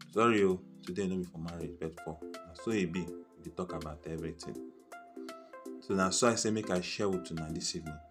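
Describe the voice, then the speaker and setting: Backed by music in the background, a man talks with a very deep, low pitch. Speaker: Pidgin English talk show host. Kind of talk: casual talk to camera. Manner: humorous.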